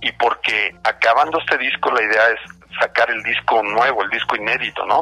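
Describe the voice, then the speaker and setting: A man speaks at a medium pitch with ordinary pitch variation. The sound is dry and close with no echo, though noticeable background noise is present. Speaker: band singer. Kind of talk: interview.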